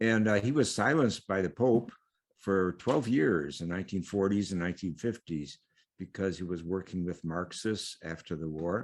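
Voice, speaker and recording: Against a quiet background, a man with a very deep, low pitch talks at a moderate pace. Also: ordinary pitch variation. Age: 80s+. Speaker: theologian and priest. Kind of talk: interview. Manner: halting, many fillers.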